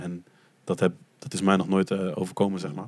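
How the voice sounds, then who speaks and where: In a very clean recording with a silent background, a man talks at a moderate pace. His pitch is very deep and low, and his intonation is fairly even. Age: 20s. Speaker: podcast guest, adoptee from Colombia. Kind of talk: casual chat.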